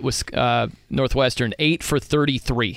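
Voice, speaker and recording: On a very clean recording with a silent background, a man speaks at a medium pitch with ordinary pitch variation and vocal fry. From US Midwest. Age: 40s. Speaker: sports radio host. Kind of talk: casual chat. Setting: studio.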